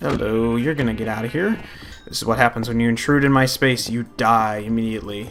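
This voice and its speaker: Against noticeable background noise, a man's medium-pitched voice carries ordinary pitch variation. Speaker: gaming youtuber. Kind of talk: let's play commentary. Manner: casual, rambling with fillers.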